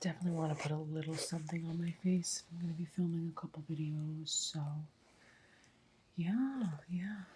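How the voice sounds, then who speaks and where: A soft-spoken woman with a dark, mellow tone and a relaxed, calm manner talks at a fairly quick pace, somewhat breathy, with long, frequent pauses. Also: fairly low pitch for a woman, ordinary pitch variation. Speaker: ASMR creator. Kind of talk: ASMR makeup get-ready-with-me talk to camera.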